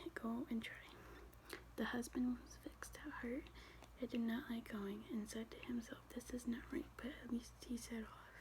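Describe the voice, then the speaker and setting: Someone soft-spoken talks at a moderate pace. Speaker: ASMR content creator. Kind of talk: ASMR soft-spoken reading with word repetition. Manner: soft-spoken, relaxing.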